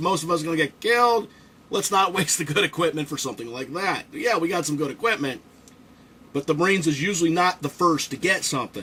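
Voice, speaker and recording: A man speaks at a very fast pace in a high-pitched, animated voice. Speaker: toy reviewer and Marine veteran. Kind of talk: casual build commentary.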